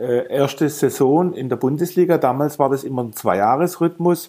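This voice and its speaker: A man with a fairly high pitch talks in a dark, mellow tone with ordinary pitch variation. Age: 50s. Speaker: model pilot, aerobatics competitor. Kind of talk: casual interview. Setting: Skype call.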